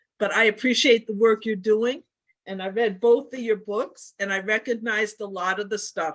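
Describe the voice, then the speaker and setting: A woman with an ordinary speaking voice talks at a moderate pace, her fairly high pitch carried with fairly even intonation. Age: 60s. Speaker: participant asking a question. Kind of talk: casual chat.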